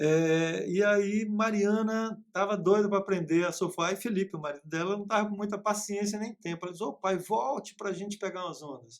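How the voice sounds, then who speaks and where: A high-pitched male voice with ordinary pitch variation and hardly any pauses. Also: moderate pace. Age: 50s. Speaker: teacher. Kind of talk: casual chat.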